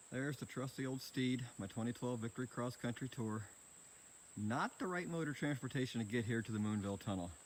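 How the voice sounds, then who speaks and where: A man's medium-pitched voice at a fairly quick pace, very even in loudness, with ordinary pitch variation. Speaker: motorcycle travel vlogger. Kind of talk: casual vlog narration. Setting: outdoors at a tunnel. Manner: soft-spoken.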